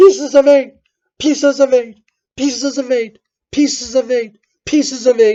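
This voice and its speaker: In a shrill, high-pitched, put-on character voice, the speaker moves at a moderate pace with long, frequent pauses. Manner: repetitive, clacking without pause.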